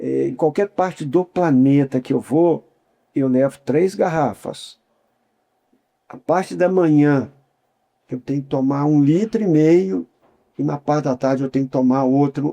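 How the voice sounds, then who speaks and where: With a dark, mellow tone and a fairly high pitch, a man speaks at a fairly slow pace with long, frequent pauses and ordinary pitch variation, recorded in a dry, close sound with no echo. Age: 60s. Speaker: humanitarian worker and academy member. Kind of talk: interview.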